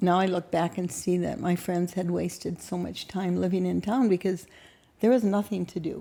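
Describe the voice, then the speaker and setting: With an Upper Midwest accent, the speaker has a dark, mellow tone, fairly even intonation and a moderate pace. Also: woman, fairly low pitch for a woman. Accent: Upper Midwest American. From North Dakota, rural farm. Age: 70s. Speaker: podcast guest, grandmother. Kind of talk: casual interview chat.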